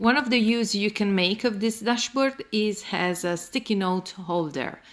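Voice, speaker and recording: Her Italian accent clear, a woman talks at a fairly slow pace with fairly high pitch and ordinary pitch variation. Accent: non-native, Italian-accented English. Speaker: planner youtuber. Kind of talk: tutorial. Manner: halting, many fillers.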